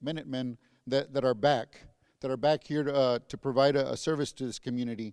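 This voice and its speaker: Against a quiet background, the speech races at a very fast pace with fairly even intonation. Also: man. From San Antonio, Texas. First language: Spanish. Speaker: school district police chief. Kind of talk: convocation speech. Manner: halting, many repetitions.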